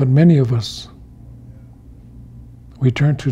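A man's somewhat breathy, dark, mellow voice at a very slow pace, light background noise behind it. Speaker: elder storyteller and teacher. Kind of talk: storytelling talk. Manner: slow, reflective. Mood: calm, solemn, reflective. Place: home room.

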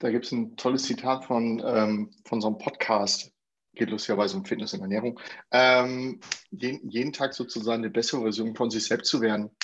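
This man's pitch moves in an ordinary way. He delivers his words at a fairly quick pace. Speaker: guest. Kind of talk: discussion contribution. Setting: video call. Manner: talkative, jokey. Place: home room. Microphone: earbuds.

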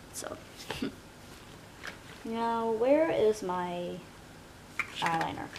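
A woman with a fairly high pitch speaks at a very slow pace, leaving long, frequent pauses. Noticeable background noise runs under her voice. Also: lively intonation. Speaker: ASMR roleplayer. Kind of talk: ASMR roleplay, makeover. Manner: soft-spoken, close, reassuring. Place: home room. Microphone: webcam.

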